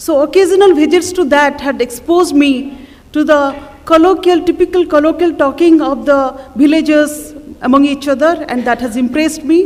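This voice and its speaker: With an Odisha accent, a woman speaks at a high pitch with fairly even intonation against noticeable background noise. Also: moderate pace. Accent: Indian English, Odia. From India, Odisha (Cuttack). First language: Odia. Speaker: writer. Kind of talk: festival talk. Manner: halting.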